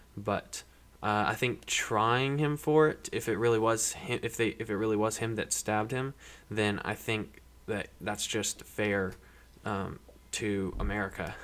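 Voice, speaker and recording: A normal speaking voice at a fairly slow pace with ordinary pitch variation. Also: man, fairly low pitch for a man. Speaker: podcast panelist. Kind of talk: casual chat.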